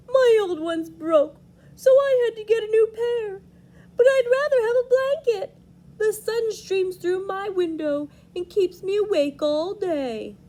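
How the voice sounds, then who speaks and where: A put-on character voice at an extremely high pitch goes along at a fairly slow pace. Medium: read story.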